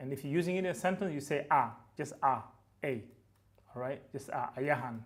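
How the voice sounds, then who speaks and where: A man speaks with a West African accent. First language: Fulfulde. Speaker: language teacher, YouTuber. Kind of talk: tutorial. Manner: casual, hesitant with fillers.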